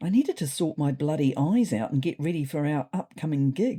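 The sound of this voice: A woman speaks at a moderate pace in a low, dark, mellow voice with a slightly husky edge and lively intonation.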